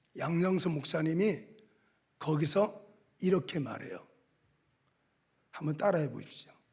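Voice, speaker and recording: Very slow speech from a man at a fairly high pitch, with ordinary pitch variation and audible room echo. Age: 60s. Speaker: pastor, revival preacher. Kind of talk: sermon. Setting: church. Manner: animated.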